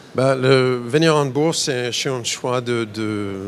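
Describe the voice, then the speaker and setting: Noticeable background noise sits under a man with an American accent. He speaks at a very slow pace and a medium pitch with fairly even intonation. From United States. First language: English (speaking French). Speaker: biotech company CEO. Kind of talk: interview at investor fair. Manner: halting, many repetitions and fillers.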